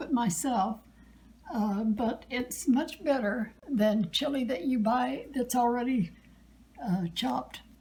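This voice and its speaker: A woman speaks very slowly in a high-pitched voice with ordinary pitch variation. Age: 80s+. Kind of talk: cooking demonstration interview answer. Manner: hesitant, many filler sounds.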